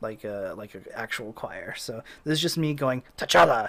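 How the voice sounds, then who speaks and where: At a fairly slow pace, a man talks with a medium-pitched voice. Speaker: composer. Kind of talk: tutorial. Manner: casual, with many fillers.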